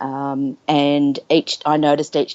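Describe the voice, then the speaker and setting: Fairly slow in pace, a woman speaks with an Australian accent. Her pitch is very deep and low. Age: 50s. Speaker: nurse sharing her story. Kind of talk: interview testimony. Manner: halting, many fillers.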